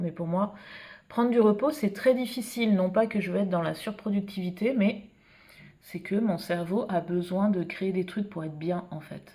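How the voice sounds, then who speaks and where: A woman's somewhat breathy voice at a medium pitch, dark and mellow in tone, at a moderate pace. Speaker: illustrator and art vlogger. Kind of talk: casual vlog talk. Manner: hesitant, many fillers.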